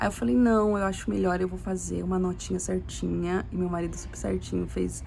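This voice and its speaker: The room echo is audible as a woman talks at a moderate speed. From Brazil. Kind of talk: casual testimony monologue. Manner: halting, repetitive.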